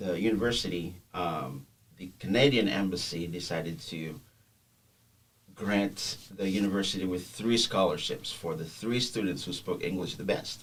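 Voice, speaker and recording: Speaking at a moderate pace, a man with a Haitian accent has a very deep, low pitch. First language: Haitian Creole. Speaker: podcast guest. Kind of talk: personal testimony. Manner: halting, many fillers.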